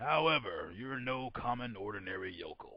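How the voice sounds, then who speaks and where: A man uses a raspy, put-on character voice at a medium pitch. He keeps a moderate pace. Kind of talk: 1940s radio acting. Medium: audio drama. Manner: patronizing, silky.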